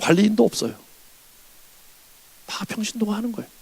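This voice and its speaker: A man rattles along at a very fast pace in a high pitch. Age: 60s. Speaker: revival preacher, pastor. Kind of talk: sermon. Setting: church.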